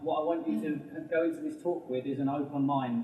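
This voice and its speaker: Through noticeable background noise and audible room echo comes a man's fairly high-pitched voice. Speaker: business mentor. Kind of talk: public talk. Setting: stage with audience. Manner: fast.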